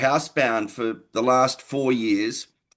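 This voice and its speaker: A man's medium-pitched voice with ordinary pitch variation at a fairly slow pace. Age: 60s. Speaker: wellness product user giving testimony. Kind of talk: testimony. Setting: video call. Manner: halting.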